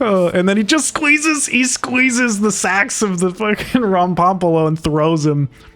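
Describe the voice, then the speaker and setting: Lively intonation at a moderate pace, with hardly any pauses and very even loudness, sits over noticeable background noise. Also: man, high pitch for a man. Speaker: film director and narrator of his own short. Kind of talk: director's commentary, casual. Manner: casual, many fillers and restarts.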